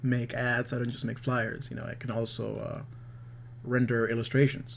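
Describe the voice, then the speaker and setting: A man talks at a medium pitch in a flat, monotone way. There is noticeable background noise. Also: moderate pace. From Peru (Lima). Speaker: illustrator and graphic designer. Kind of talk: narrated drawing tutorial. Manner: hesitant, many fillers; casual, rambling.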